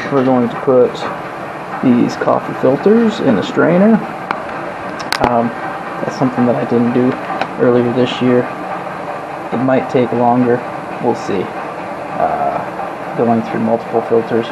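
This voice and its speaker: Over loud background noise, the speech moves at a fairly slow pace with long, frequent pauses. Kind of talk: tutorial. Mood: relaxed, enthusiastic. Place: kitchen. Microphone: phone near.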